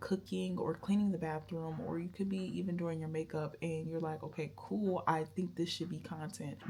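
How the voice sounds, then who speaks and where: The soft-spoken, somewhat breathy voice has a dark, mellow tone, ordinary pitch variation and a moderate pace. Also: woman. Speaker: YouTuber. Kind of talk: vlog advice talk. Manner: mumbling at times.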